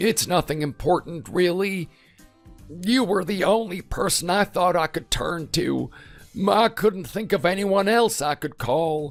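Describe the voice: Over faint background music, a man does a raspy, put-on character voice at a high pitch and a fairly slow pace.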